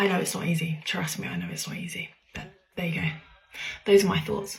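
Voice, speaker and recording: A woman talks quietly at a very fast pace, her loudness swinging widely. Noticeable background noise and audible room echo surround her. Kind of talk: casual personal talk.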